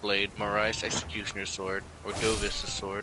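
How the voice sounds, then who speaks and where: Over music in the background, a man speaks at a fairly low pitch. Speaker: gamer co-op partner. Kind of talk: casual gaming chat. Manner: animated.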